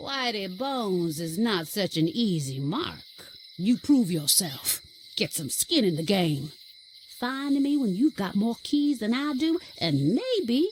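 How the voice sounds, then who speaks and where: Over clear background noise, a put-on character voice speaks at a fairly slow pace. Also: female-sounding voice. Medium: video game. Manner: clipped, gruff, theatrical.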